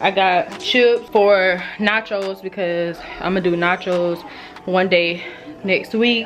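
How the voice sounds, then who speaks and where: A woman is speaking. There is music in the background. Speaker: family vlogger. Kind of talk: casual vlog.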